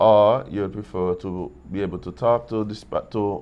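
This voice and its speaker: A man speaks with fairly even intonation. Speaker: morning show co-host. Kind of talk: casual chat.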